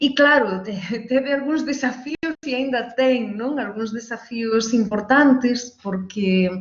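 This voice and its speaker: Her pitch high, a woman speaks at a very slow pace with hardly any pauses. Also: ordinary pitch variation. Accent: non-native. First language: Galician (speaking Portuguese). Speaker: university education professor and coordinator. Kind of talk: live online interview. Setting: live stream from new apartment. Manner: deliberately slow.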